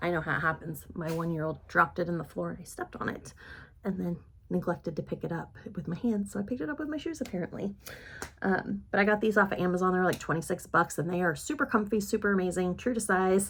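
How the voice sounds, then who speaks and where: Speaking very fast, a woman uses lively intonation at a medium pitch. Vocal fry runs through her voice. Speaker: beauty vlogger. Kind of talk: makeup tutorial chat.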